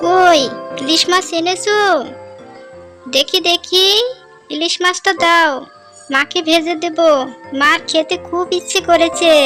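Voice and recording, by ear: A female-sounding cartoonish character voice comes in at an extremely high pitch and a fairly slow pace. Clear music plays in the background.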